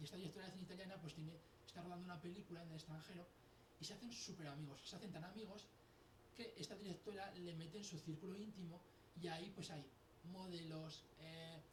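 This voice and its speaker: A man with a high pitch talks at a very fast pace, with fairly even intonation and long, frequent pauses. Noticeable background noise and audible room echo fill the recording. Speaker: author. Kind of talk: interview. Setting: radio and TV studio. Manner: halting, false starts.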